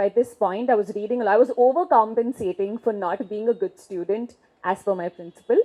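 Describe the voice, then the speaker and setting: A woman talks with an Indian accent. Her pitch sits fairly high. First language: Marwari. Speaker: leadership and gender consultant. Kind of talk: keynote speech. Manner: conversational storytelling.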